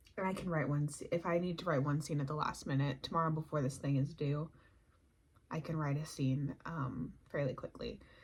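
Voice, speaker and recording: Soft-spoken and somewhat breathy, a woman talks at a fairly quick pace. Her pitch is very deep and low, with fairly even intonation. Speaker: indie author vlogger. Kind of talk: casual vlog. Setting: at home.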